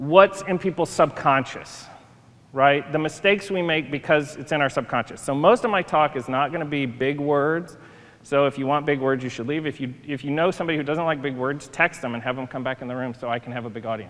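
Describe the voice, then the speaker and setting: Here a man speaks at a fairly quick pace. His pitch moves in an ordinary way. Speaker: conference speaker. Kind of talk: lecture. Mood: playful, humorous. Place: stage.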